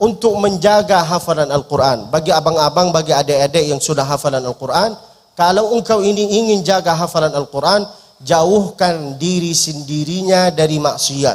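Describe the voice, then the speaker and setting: This man has a high pitch, an Arabic accent and an animated tone, with very even loudness at a moderate pace. Noticeable background noise sits behind him. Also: ordinary pitch variation. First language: Arabic (speaking Indonesian). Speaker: preacher. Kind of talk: sermon. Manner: humorous, animated.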